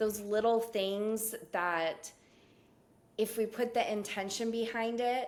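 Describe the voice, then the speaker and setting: Speaking at a very slow pace, a woman with an American accent uses a fairly high pitch. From California, Cuban American family. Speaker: professor and spiritual practitioner. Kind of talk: casual interview chat.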